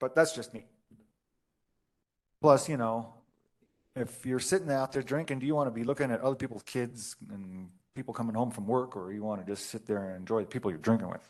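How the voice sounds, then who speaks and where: The speech moves at a fairly quick pace but has long, frequent pauses. The background is quiet. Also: man, medium pitch for a man, ordinary pitch variation. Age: 60s. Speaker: zoning board member. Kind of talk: public meeting discussion. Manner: halting.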